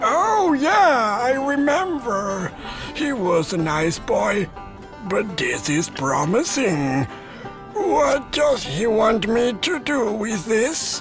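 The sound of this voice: A cartoonish character voice from a man, extremely high in pitch, very slow in pace, over clear music in the background.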